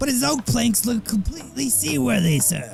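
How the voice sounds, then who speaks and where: Over clear background noise, a man puts on a character voice that is high-pitched with very wide pitch swings. He keeps a moderate pace. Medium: comedy sketch. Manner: deferential, says "sir" a lot.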